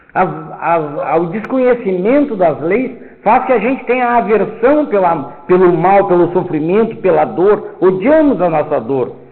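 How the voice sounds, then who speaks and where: A man's fairly slow, lively-toned speech amid audible room echo and noticeable background noise. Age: 70s. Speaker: spiritist lecturer. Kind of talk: lecture. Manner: loud.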